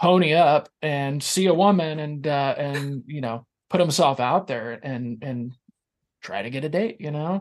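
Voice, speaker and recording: A man's unremarkable speaking voice, fairly high in pitch, with lively intonation. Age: 40s. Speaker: podcast host, guest on another podcast. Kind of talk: casual chat.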